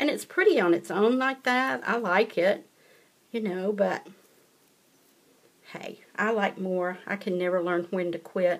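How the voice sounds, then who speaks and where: This woman has a Southern US accent and a medium-pitched voice with ordinary pitch variation. She speaks at a fairly slow pace, with long, frequent pauses. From US South. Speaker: paper craft demonstrator. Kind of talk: tutorial. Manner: casual, chatty.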